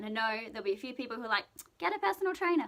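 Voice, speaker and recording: Noticeable background noise sits under a woman speaking with an Australian accent. Her pitch swings very widely. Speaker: vlogger and pageant contestant. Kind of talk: casual vlog monologue. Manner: fast; loud.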